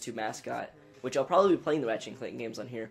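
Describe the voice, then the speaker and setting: Music plays in the background. A man is speaking. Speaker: gaming YouTuber. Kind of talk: let's play commentary. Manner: casual with fillers.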